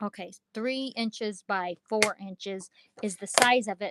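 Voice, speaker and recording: A woman speaks at a fairly slow pace in a plain, everyday voice with a fairly high pitch. The sound is dry and close, with no echo. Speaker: craft livestream seller. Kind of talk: live stream chat.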